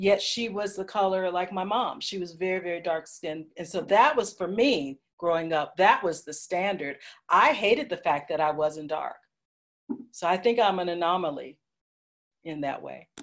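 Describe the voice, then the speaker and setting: At a moderate pace, a woman with a plain, everyday voice speaks at medium pitch with ordinary pitch variation and big swings in loudness. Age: 60s. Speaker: panelist. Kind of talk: panel discussion.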